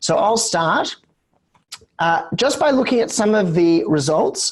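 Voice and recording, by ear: Croaky in sound, a man talks at a fairly slow pace. His pitch variation is ordinary.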